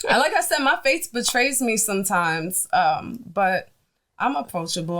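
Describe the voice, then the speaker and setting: A woman at medium pitch with a strong Brooklyn accent, lively intonation and a moderate pace. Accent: Brooklyn New York accent, thick. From New York, Brooklyn (East Flatbush). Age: 40s. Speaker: food business owner. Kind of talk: casual interview chat.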